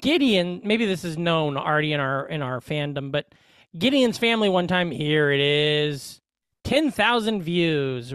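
This man has an unremarkable speaking voice, pitched fairly high. He talks at a fairly slow pace with lively intonation. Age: 30s. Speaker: podcast co-host. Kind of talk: casual chat. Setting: remote recording, studio.

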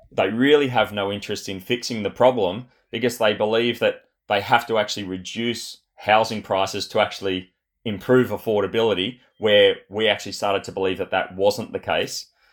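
Fairly low male voice in an Australian accent, fairly quick and fairly even in intonation. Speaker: property developer, former Olympic athlete. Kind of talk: interview conversation. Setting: remote call.

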